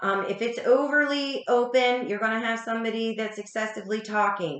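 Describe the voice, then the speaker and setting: A fairly high-pitched woman at a moderate pace with ordinary pitch variation. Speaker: spiritual teacher / reader. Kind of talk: casual talk. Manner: hesitant, many ums.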